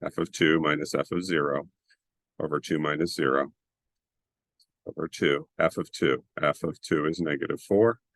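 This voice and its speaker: A man with a very deep, low voice and vocal fry speaks at a moderate pace with long, frequent pauses, the sound dry and close with no echo. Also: fairly even intonation. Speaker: math teacher. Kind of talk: tutorial. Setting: screen-share video lesson.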